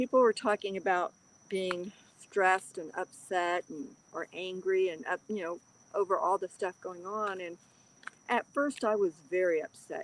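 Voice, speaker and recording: A woman talks at a moderate pace in an unremarkable speaking voice. Her pitch is medium, with ordinary pitch variation. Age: 60s. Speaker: livestream host, card reader. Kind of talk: casual livestream chat reading comments. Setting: livestream.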